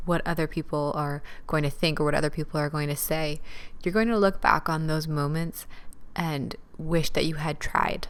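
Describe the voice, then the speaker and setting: Soft-spoken and at a moderate pace, the voice keeps a fairly even intonation. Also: woman. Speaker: podcast host, dance teacher. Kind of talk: solo podcast talk, motivational. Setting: at home, recording late at night. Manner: quiet, soft-spoken.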